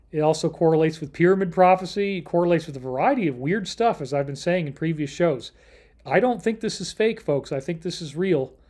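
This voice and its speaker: With an American accent, a man talks fairly quickly in a fairly high pitch over a quiet background. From Upstate New York. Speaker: livestream host on alternative topics. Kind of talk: solo livestream talk. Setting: hotel room. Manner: loud; animated.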